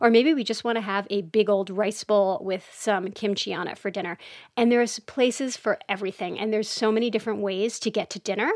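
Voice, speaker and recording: A woman's fairly high voice, an unremarkable speaking voice, with fairly even intonation and a fairly quick pace. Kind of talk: casual interview.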